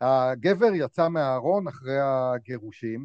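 With a normal speaking voice, this man talks at a medium pitch and uses lively intonation. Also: dry, close sound with no echo. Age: 40s. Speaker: playwright and stage actor. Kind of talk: casual interview chat.

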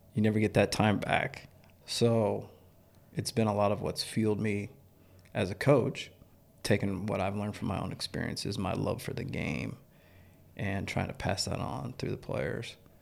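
With an American accent, a man talks at a moderate pace in a fairly low pitch with vocal fry, ordinary pitch variation and long, frequent pauses. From Nebraska (small town). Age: 40s. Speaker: high school baseball coach. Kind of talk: casual interview.

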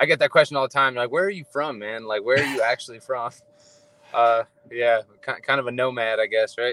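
A man's medium-pitched, bright, sharp voice with an American accent, ordinary pitch variation and a fairly quick pace, in a dry, close recording with no echo. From Ohio. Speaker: MMA fighter, Air Force member. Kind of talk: casual interview.

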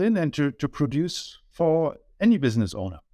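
Delivered at a fairly slow pace, the speech carries a German accent. The pitch swings very widely. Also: man. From Germany. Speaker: business owner, data consultant. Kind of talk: interview. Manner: halting.

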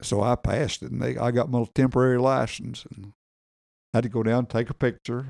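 A man talks at a very fast pace with a Southern US accent and medium pitch. His intonation is fairly even, and the sound is dry and close with no echo. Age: 80s+. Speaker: military veteran. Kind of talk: casual chat.

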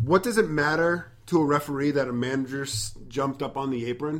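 With an ordinary speaking voice, a man talks at a fairly high pitch and a fairly quick pace, his pitch varying in an ordinary way. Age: 30s. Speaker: wrestling podcast host. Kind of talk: casual chat.

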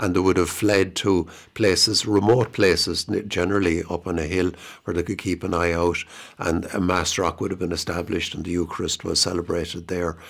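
In an Irish accent, a man with a very deep, low pitch speaks at a fairly quick pace in a monotone, flat intonation. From Ireland, County Offaly. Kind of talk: radio interview. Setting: radio studio.

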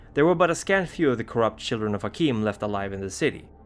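Music plays in the background as a man talks at a very fast pace. His medium-pitched voice has a dramatic tone and lively intonation. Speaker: lore narrator. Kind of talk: scripted horror lore narration, storytelling. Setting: video channel. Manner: measured, formal, dramatic.

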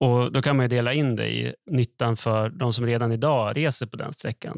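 Recorded very cleanly against a silent background, with a dry, close sound and no echo, a man in an unremarkable speaking voice talks at a medium pitch and a fairly quick pace with fairly even intonation. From northern Sweden, Skellefteå. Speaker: economist podcast co-host. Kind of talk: casual explanatory chat.

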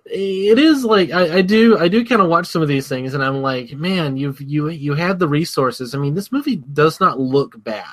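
Against noticeable background noise, a man with a fairly high voice and lively intonation talks at a moderate pace with hardly any pauses. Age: 30s. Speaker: movie podcast co-host. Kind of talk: casual chat.

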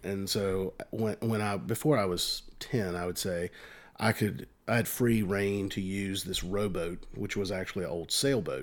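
Recorded very cleanly against a silent background, a man with a Virginia accent talks at a fairly slow pace, his fairly low pitch showing ordinary variation. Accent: Virginia Southern. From US South, rural eastern Virginia (Northumberland County). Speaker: bank employee and amateur musician. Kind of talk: casual chat.

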